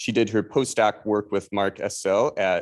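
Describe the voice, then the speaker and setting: A man with a Chicago accent speaks at a moderate pace in a fairly low voice over a quiet background. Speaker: statistics professor, seminar moderator. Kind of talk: seminar introduction.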